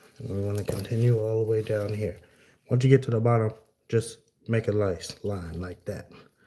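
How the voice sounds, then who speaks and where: A man's somewhat breathy, dark and mellow voice, fairly low in pitch, at a moderate pace with fairly even intonation. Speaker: floor coverer. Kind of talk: tutorial.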